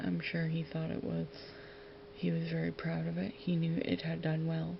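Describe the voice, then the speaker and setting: The speaker is soft-spoken and keeps a fairly slow pace over noticeable background noise. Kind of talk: ASMR.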